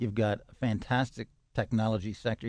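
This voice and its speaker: A man's plain, everyday voice at medium pitch, moderate pace and ordinary pitch variation, against a quiet background. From Canada, Toronto. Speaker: tech company CEO and founder. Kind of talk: radio interview.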